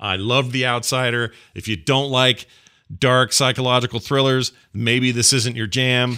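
This man's voice is medium in pitch, with a bright, sharp tone. He sounds animated and speaks at a fairly slow pace. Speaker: podcast host. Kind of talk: casual comedic chat. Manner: jokey, animated.

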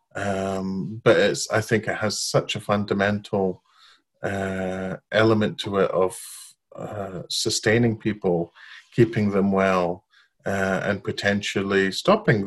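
A man speaking very slowly at a fairly low pitch, with fairly even intonation, over a quiet background. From Iraq, Baghdad. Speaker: community arts and mental health worker. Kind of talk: interview. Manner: hesitant, many fillers.

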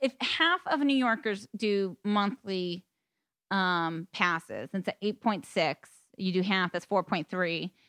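A woman speaks in a normal speaking voice, medium-pitched, with an American accent and lively intonation. The recording is very clean and dry, close up with no echo and a silent background. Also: fairly slow pace. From Boston, US. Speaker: podcast guest. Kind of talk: casual chat.

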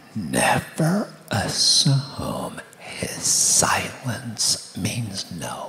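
Amid noticeable background noise, the speaker whispers very slowly. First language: English (speaking Portuguese). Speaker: guest preacher and author. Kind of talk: sermon. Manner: soft-spoken.

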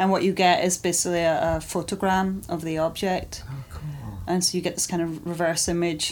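Her voice is fairly low and monotone, with flat intonation. The woman talks at a fairly quick pace with hardly any pauses. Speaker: artist. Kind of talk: interview. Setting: her studio.

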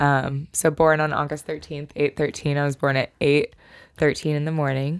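Very deep, low pitch from a woman with a Pacific Northwest accent and monotone, flat intonation, on a very clean recording with a silent background. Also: moderate pace. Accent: Pacific Northwest American. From Washington State, Snohomish area. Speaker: DJ and music producer. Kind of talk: casual chat.

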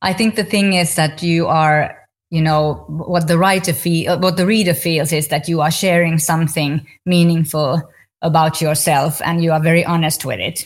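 With a Finnish accent, a woman speaks at a moderate pace in a fairly low, somewhat breathy voice, with fairly even intonation and very even loudness, on a very clean recording with a silent background. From Finland. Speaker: podcast host. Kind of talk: interview.

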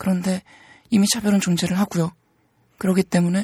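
A woman speaks at a fairly quick pace in a medium pitch, her somewhat breathy voice dark and mellow in tone, with a dry, close sound and no echo on a very clean recording over a silent background. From Seoul, South Korea. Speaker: transgender rights activist and writer. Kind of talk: interview.

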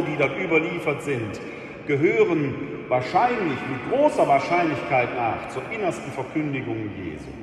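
Background music accompanies the speech. The man's pitch swings very widely. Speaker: preacher. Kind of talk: sermon in church. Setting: church. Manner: formal yet conversational, with rhetorical questions and wry humor.

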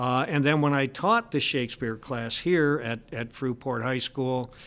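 A man with an American accent, medium pitch, ordinary pitch variation and a moderate pace on a very clean recording with a silent background. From US Midwest, Michigan. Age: 60s. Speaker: high school English teacher. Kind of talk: casual interview conversation. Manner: chatty, humorous.

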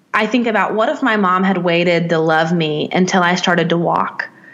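A woman speaks with a Southern US accent. There is noticeable background noise. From US South, Nashville, Tennessee. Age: 30s. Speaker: life coach. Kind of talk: interview.

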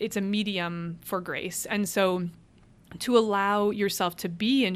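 A woman speaks with an American accent in an unremarkable speaking voice, her intonation fairly even. The recording is very clean, with a silent background. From Cleveland, Ohio. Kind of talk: interview about faith and vocation.

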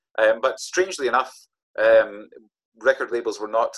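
A man talks at a fairly quick pace in an Aberdeen accent. The sound is dry and close, with no echo. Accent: Scottish, north-east (Aberdeen). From Scotland, Aberdeen. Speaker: author and storyteller. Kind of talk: interview.

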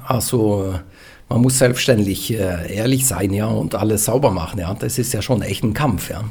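Speaking at a fairly slow pace, a man with a fairly low pitch and ordinary pitch variation is heard with audible room echo. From western Norway. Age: 40s. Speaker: retired pastor. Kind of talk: interview.

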